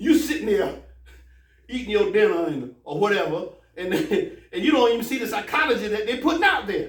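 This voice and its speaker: A man with an American accent speaks at an extremely high pitch, animated in tone, with very wide pitch swings. His pace is fairly quick despite long, frequent pauses, and the room echo is audible. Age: 60s. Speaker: imam. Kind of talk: sermon. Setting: mosque.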